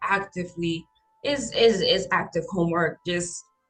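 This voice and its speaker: A woman at a moderate pace, medium in pitch with ordinary variation, over music in the background. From Honduras. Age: 20s. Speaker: podcast guest. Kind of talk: casual chat.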